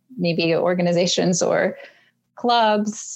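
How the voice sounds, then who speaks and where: A woman speaks very slowly at a medium pitch, her intonation fairly even. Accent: Russian. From Siberia, Russia; moved to Los Angeles at about 9. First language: Russian. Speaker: community advocate. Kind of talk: interview conversation. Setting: video call.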